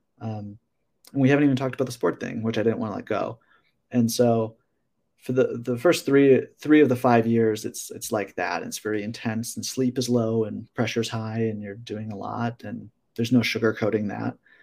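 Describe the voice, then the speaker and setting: A man with a plain, everyday voice speaks at a moderate pace in a medium pitch and fairly even intonation. His loudness swings widely, on a very clean recording with a silent background. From Wisconsin, Waukesha near Milwaukee. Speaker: sports psychologist. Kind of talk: casual interview.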